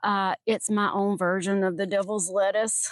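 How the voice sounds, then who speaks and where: Someone talks at a fairly slow pace with a Southern accent. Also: woman, dry, close sound with no echo. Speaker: gardening and true crime YouTuber. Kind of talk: casual vlog chat with storytelling. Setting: outdoors in a garden. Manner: casual, hesitant with fillers.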